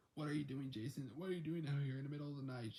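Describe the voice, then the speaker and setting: Doing a put-on character voice, a man talks very fast at a fairly high pitch, raspy, hoarse and croaky, with fairly even intonation. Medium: read story. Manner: whispering, hoarse.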